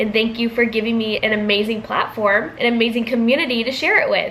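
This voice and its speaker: Speaking at a fairly quick pace with an American accent, a woman with a fairly high pitch is heard with audible room echo and noticeable background noise. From US, California and Georgia. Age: 20s. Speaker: vlogger, student. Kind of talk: casual Q&A vlog.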